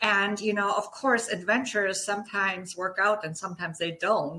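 A bright, sharp tone comes through with a German accent. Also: woman. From Germany. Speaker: guest, holistic practitioner and dance enthusiast. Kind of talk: casual interview chat.

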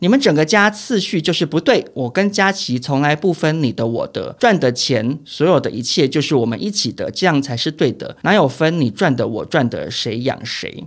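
The recording is very clean, the background silent. A man speaks at a fairly high pitch with very wide pitch swings. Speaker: entertainment gossip podcast co-host, behind-the-scenes entertainment industry worker. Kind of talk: casual chat.

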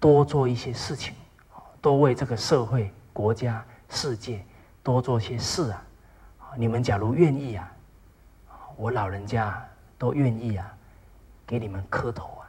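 A man speaks somewhat breathy at a medium pitch and a fairly slow pace, with long, frequent pauses, ordinary pitch variation and big swings in loudness. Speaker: lecturer on traditional Chinese ethics. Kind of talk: lecture. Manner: frequent filler particles, measured pace.

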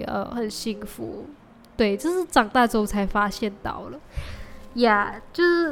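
This voice moves at a moderate pace with very wide pitch swings over noticeable background noise. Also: woman. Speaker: podcast host. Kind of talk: casual solo monologue. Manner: animated.

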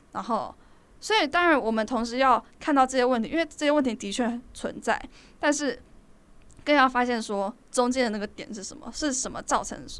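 On a very clean recording with a silent background, a woman speaks at a high pitch. Her pitch variation is ordinary, while her loudness swings widely. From Taiwan. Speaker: podcast co-host, university student. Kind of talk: casual chat.

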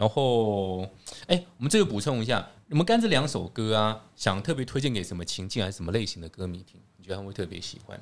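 Talking very fast with lively intonation and big swings in loudness, a man with a fairly low pitch comes through on a very clean recording with a silent background. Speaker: podcast host. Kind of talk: casual chat. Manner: animated.

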